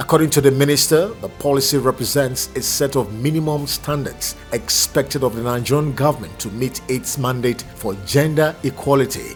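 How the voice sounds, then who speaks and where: Music plays in the background as a man with a fairly high pitch talks at a moderate pace with ordinary pitch variation. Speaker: newsreel news reader. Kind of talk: news bulletin read.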